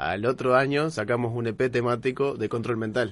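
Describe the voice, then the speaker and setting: A plain, everyday voice from a man, his intonation fairly even. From Uruguay, Minas. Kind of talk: casual chat.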